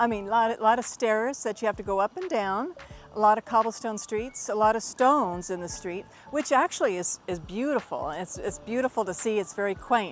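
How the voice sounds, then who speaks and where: A woman with an American accent speaks at a fairly quick pace, with an enthusiastic tone and lively intonation. Music plays in the background. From Texas, United States. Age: 50s. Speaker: retired veteran, language student. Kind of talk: testimonial talk to camera.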